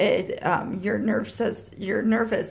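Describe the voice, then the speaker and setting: Flat, monotone intonation marks this woman's speech at medium pitch. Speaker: vlogger with chronic illness. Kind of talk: personal vlog. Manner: halting.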